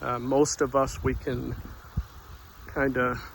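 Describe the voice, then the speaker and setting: The voice is a man's. Background noise is noticeable throughout. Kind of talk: devotional talk. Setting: outdoors. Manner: soft-spoken.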